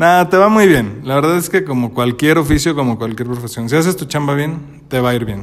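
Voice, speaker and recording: A man talks at a fairly quick pace in a fairly high pitch. It is an ordinary speaking voice with ordinary pitch variation. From Mexico, Celaya (Guanajuato). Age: 30s. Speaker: wedding photographer. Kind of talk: casual chat.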